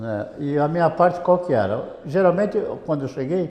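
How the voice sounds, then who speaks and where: A man speaks at a moderate pace. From Brazil, Santos (São Paulo state). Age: 70s. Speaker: radio broadcaster and sales director. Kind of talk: interview. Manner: conversational with hesitations.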